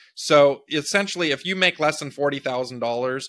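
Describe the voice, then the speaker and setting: Here a man talks in a Californian accent with a bright, sharp tone. The recording is very clean, with a silent background. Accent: Californian American. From US West Coast (Big Sur, California). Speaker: presidential candidate, tech entrepreneur. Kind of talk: interview.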